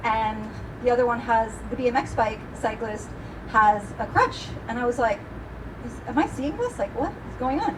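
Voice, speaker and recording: Noticeable background noise and audible room echo accompany a high-pitched woman who takes long, frequent pauses. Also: ordinary pitch variation. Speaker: event host. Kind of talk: live event introduction. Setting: stage with live audience. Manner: animated; fast.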